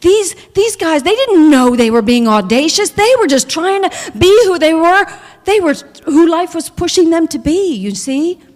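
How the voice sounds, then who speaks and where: Amid noticeable background noise, a woman talks in an animated tone, her extremely high pitch swinging very widely. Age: 60s. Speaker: minister. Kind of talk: sermon.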